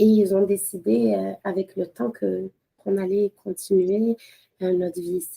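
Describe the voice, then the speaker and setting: With big swings in loudness, a woman speaks fairly slowly at a medium pitch in a dark, mellow tone with ordinary pitch variation, the sound dry and close with no echo. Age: 30s. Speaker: lawyer and mother. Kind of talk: podcast interview. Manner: hesitant, many fillers, code-switching with Arabic.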